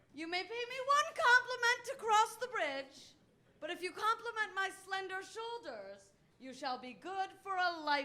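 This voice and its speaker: A woman speaks in a raised, projected voice at an extremely high pitch. Her pitch swings very widely, and her pace is moderate. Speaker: stand-up comedian. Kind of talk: stand-up. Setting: stage with audience.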